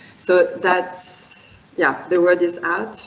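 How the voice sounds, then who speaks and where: A woman speaks in a French accent. Noticeable background noise is present. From France. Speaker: wine and spirits educator. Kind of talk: presentation. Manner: halting, many fillers.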